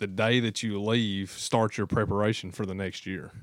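A man with an Appalachian accent speaks at a fairly low pitch and a fairly slow pace. His intonation is fairly even, and the recording is very clean with a silent background. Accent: Appalachian Kentucky. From southeastern Kentucky. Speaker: hunter. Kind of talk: casual chat.

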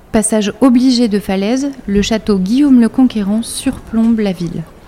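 Noticeable background noise behind a woman's fairly high voice, with ordinary pitch variation and a moderate pace. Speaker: podcast host, narrator. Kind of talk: scripted narration.

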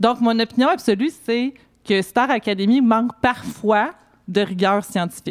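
A woman's fairly high-pitched, unremarkable speaking voice, very even in loudness, at a fairly slow pace with ordinary pitch variation. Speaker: co-host columnist. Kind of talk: read editorial.

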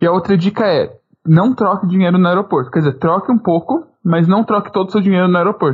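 At a very fast pace, a man speaks with a high pitch and ordinary pitch variation. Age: 20s. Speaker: podcast co-host, university student. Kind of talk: casual chat.

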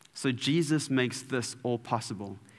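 At a fairly slow pace, a man speaks with audible room echo around him. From South Africa, Durban. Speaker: preacher. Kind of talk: sermon. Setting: church.

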